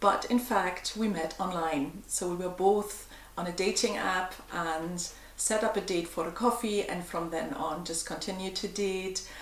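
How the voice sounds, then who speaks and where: In an American accent, a woman speaks at a fairly slow pace with fairly even intonation. Audible room echo and noticeable background noise are present. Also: medium pitch for a woman. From Germany. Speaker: vlogger. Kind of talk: casual Q&A vlog. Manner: calm, gentle.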